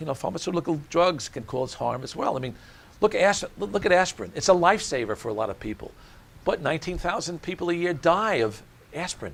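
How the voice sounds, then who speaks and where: Talking very fast in an American accent, a man uses a high pitch that swings very widely. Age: 70s. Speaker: cardiologist. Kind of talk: interview. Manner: halting.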